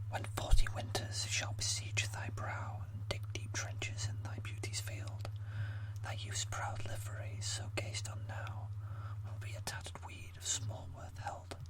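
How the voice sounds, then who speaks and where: Noticeable background noise sits under a whisper that moves at a fairly slow pace. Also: man. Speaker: amateur ASMR creator. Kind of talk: poetry reading. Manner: whispered, slow.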